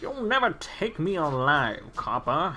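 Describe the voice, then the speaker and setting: In a put-on character voice at a middle pitch, the speaker moves at a fairly slow pace with very wide pitch swings against clear background noise. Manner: theatrical, sing-song intonation.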